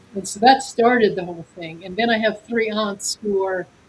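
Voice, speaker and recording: A somewhat breathy woman, medium in pitch, with fairly even intonation. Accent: American. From North Dakota and Montana, US. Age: 70s. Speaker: author. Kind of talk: interview.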